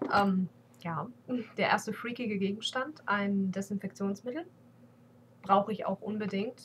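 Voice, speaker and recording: A woman speaks at a fairly slow pace, her voice somewhat breathy, with long, frequent pauses. Her pitch varies in an ordinary way over light background noise. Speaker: beauty vlogger. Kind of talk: casual vlog monologue. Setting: webcam at home PC. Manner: hesitant, many fillers. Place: home room. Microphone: webcam.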